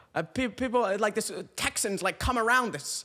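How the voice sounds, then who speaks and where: A man with a bright, sharp tone talks at a moderate pace in a very clean recording with a silent background. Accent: British. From UK. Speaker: comedian podcaster. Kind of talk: comedic rant reading comments. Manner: animated; halting.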